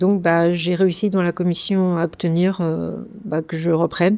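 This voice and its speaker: Her pitch is fairly low and her intonation monotone and flat. The woman speaks at a fairly slow pace. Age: 60s. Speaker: retired schoolteacher, cancer survivor. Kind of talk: interview testimony. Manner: hesitant, many fillers.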